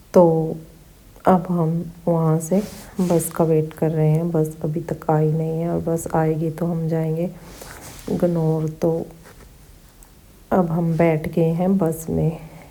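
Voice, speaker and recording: A woman talks in a fairly low pitch with monotone, flat intonation. She leaves long, frequent pauses over noticeable background noise. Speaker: vlogger. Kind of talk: travel vlog narration. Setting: on a bus. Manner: casual.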